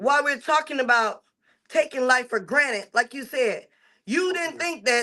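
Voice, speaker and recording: Raised and projected, a woman's high-pitched voice holds a moderate pace with ordinary pitch variation. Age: 50s. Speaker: podcast co-host. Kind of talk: casual chat.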